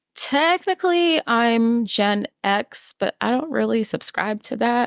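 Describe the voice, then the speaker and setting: With an American accent, a woman speaks at a fairly slow pace with very wide pitch swings, in a very clean recording with a silent background. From New York City. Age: 40s. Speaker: podcast co-host. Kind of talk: casual chat.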